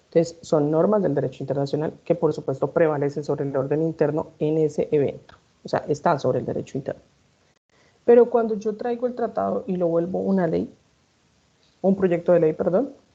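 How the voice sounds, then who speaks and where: A woman speaks at a fairly quick pace with lively intonation. Her fairly low voice has a dark, mellow tone. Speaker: law professor. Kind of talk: lecture. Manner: fast.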